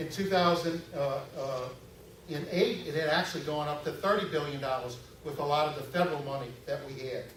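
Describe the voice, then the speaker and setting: A man with a New Orleans accent and a fairly high pitch is heard with audible room echo and noticeable background noise. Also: ordinary pitch variation, fairly quick pace. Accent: New Orleans area Southern US. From Louisiana, Metairie. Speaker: political candidate. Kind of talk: campaign speech. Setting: stage with audience. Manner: halting, frequent fillers.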